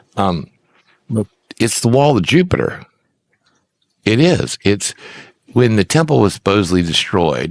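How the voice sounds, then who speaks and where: A man with a fairly low pitch and vocal fry speaks with very wide pitch swings and long, frequent pauses. The sound is dry and close with no echo. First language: Icelandic. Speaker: minister and religion presenter. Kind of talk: rant. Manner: halting; animated.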